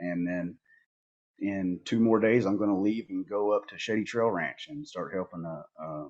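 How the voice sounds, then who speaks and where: A man with a fairly low voice talks at a moderate pace, his pitch varying in an ordinary way. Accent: Southern US. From Northeast Arkansas, US South. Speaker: border patrol agent and outdoor photographer. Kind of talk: casual podcast interview.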